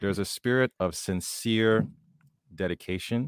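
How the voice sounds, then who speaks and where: Recorded very clean with a silent background and a dry, close sound with no echo, a man speaks at a fairly slow pace. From Haiti. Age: 40s. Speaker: podcast host. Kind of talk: casual interview conversation.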